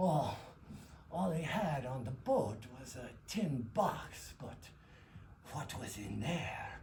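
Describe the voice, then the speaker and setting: Using a put-on character voice, a man speaks at a fairly high pitch and a very slow pace, with very wide pitch swings, big swings in loudness and long, frequent pauses over clear background noise. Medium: stage play. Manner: gruff, blunt.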